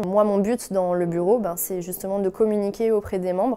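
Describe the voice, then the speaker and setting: Speaking at a moderate pace, a woman uses a medium pitch and a dark, mellow tone, her intonation monotone and flat. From France. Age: 20s. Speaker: wine and sake consultant, entrepreneur. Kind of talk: interview testimony. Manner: hesitant, many fillers.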